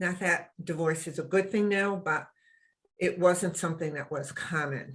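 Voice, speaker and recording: This woman has a US East Coast accent and a fairly low pitch. Her intonation stays fairly even. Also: quiet background. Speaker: web show co-host. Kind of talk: casual chat.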